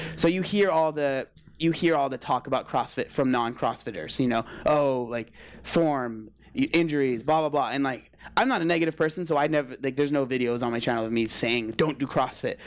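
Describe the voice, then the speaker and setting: A man with an ordinary speaking voice talks fairly fast and fairly high, his pitch varying in an ordinary way. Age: 20s. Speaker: weight-loss vlogger and CrossFit athlete. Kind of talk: casual chat.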